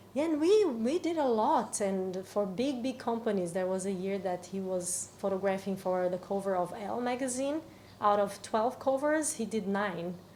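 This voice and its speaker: Someone speaks in a Portuguese accent with lively intonation. The pace is moderate, with hardly any pauses. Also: woman, medium pitch for a woman. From Brazil. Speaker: cacao ceremony facilitator. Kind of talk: podcast interview. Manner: halting.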